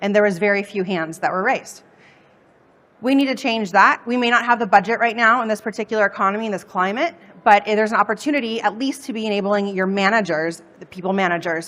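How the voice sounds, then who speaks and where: A woman talks at a very fast pace with ordinary pitch variation. Her tone is energetic. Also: medium pitch for a woman. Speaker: customer success consultant. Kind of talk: conference workshop talk. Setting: stage with audience.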